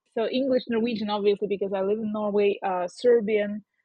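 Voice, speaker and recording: A woman's voice with a Russian accent. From southern Ukraine. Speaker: podcast co-host. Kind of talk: casual chat. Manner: hesitant, many fillers.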